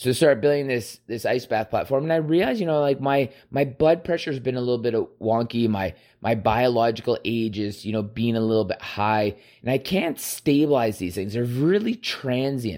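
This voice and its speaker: An ordinary speaking voice moves at a fairly quick pace. Its pitch varies in an ordinary way. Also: man, medium pitch for a man. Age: 30s. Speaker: solo podcaster. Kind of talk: casual monologue. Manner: rambling with many fillers.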